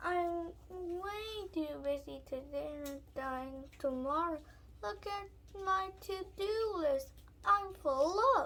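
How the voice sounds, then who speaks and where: Here a woman puts on a character voice with an extremely high pitch. She speaks at a very slow pace. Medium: read story.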